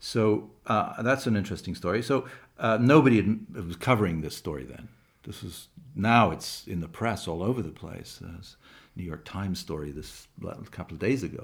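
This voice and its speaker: Speaking at a fairly quick pace with lively intonation, a man with a fairly low pitch moves through big swings in loudness. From England and Canada. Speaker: documentary filmmaker and screenwriter. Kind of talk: interview. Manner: halting, many repetitions.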